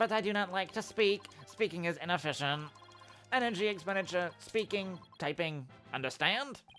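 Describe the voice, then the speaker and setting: A robotic, put-on character voice speaks at a middle pitch and a moderate pace. Clear music plays behind it. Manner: flat, efficient, terse.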